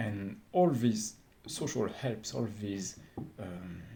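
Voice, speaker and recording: A man with a French accent speaks at fairly low pitch in a dark, mellow tone that is somewhat breathy. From France. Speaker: vlogger. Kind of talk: unscripted monologue. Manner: halting, many fillers.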